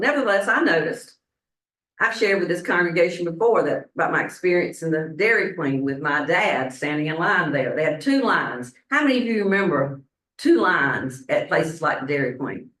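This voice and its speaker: A woman with a Southern US accent speaks at a fairly low pitch and a moderate pace. Her pitch makes very wide swings. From US South, Statesboro, Georgia. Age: 70s. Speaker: minister. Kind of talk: sermon. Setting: church congregation.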